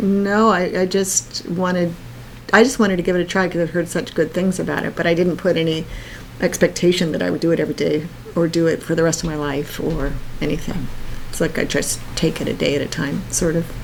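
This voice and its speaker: Over noticeable background noise, a woman with a fairly low pitch talks at a fairly quick pace with fairly even intonation. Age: 50s. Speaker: podcast co-host and professional organizer. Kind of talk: casual chat.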